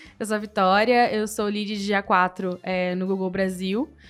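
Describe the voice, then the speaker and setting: A woman with a Porto Alegre accent speaks at a moderate pace with fairly even intonation. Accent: gaúcho accent from Porto Alegre. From southern Brazil, Porto Alegre. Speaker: analytics lead at a tech company. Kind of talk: interview.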